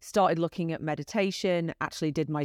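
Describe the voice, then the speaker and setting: A woman's fairly even intonation on a dry, close recording with no echo, very clean with a silent background. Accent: British. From UK. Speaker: entrepreneur and executive. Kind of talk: interview.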